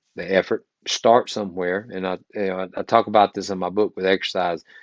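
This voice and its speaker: In an American accent, a man with a very deep, low pitch speaks at a moderate pace in monotone, flat intonation, the sound dry and close with no echo. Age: 60s. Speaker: pharmacist and wellness coach. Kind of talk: interview. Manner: halting, many fillers.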